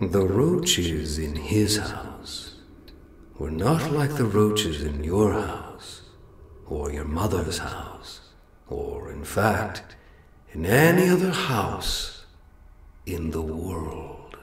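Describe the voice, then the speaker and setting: A man talks at a fairly low pitch with very wide pitch swings. He goes at a very slow pace, with long, frequent pauses. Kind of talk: lyrical gothic prose-poem incantation. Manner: slow, measured, ornate.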